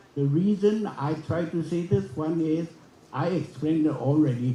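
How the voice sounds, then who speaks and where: A man with a dark, mellow tone and fairly high pitch speaks at a fairly slow pace with lively intonation, and audible room echo surrounds him. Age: 80s. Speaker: forum speaker. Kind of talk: conference speech. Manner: halting, with many restarts.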